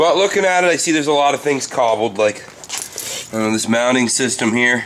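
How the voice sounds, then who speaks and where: Noticeable background noise sits under a man whose medium-pitched voice has lively intonation. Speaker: RC hobbyist. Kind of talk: casual talk to camera. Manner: casual, profane.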